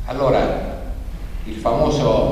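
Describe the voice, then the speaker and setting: A man's voice comes through strong room echo over light background noise. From not native to Abruzzo. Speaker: regional association president opening a political conference. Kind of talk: conference speech. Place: hall. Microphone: podium.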